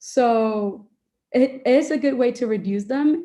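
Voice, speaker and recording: With a Spanish accent, a woman speaks in a dark, mellow tone. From Dominican Republic. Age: young. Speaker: medical student and debate coach. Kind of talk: Q&A in an online workshop. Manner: uses many filler words.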